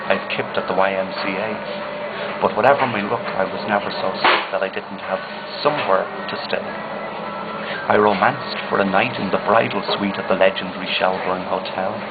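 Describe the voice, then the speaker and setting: With music in the background, a man with a Dublin accent speaks at a fairly low pitch and a moderate pace, using fairly even intonation and hardly any pauses. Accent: Dublin Irish. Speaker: poet. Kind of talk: poetry reading.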